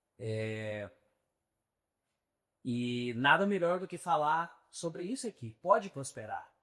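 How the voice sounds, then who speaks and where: A man with a bright, sharp tone and fairly high pitch, very slow, with long, frequent pauses, very wide pitch swings and big swings in loudness. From São Paulo, Brazil. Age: 30s. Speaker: real estate agent. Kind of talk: podcast interview.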